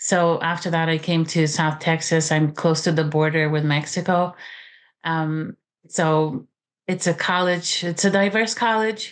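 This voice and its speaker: A woman with a Romanian accent speaks at a fairly slow pace in a fairly low pitch, with fairly even intonation and very even loudness, against a quiet background. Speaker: author and college teacher. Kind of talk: interview. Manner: halting, many fillers.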